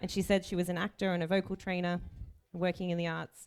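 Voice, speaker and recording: In an Australian accent, a woman talks very fast at a fairly low pitch with fairly even intonation. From Australia (Melbourne). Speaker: chief bridesmaid. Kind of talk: wedding speech. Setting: wedding reception with audience.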